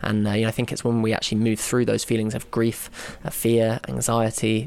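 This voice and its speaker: Amid noticeable background noise, a man with a southern English accent speaks at a very fast pace and medium pitch. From London, England. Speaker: documentary filmmaker. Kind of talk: interview.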